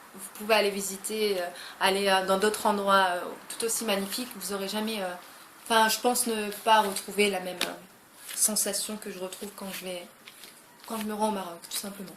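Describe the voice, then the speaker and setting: A woman speaks at a medium pitch and a moderate pace, her intonation monotone and flat, with big swings in loudness. The recording has audible room echo and noticeable background noise. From France, of Moroccan descent. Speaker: YouTuber. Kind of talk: casual vlog chat. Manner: hesitant, many fillers.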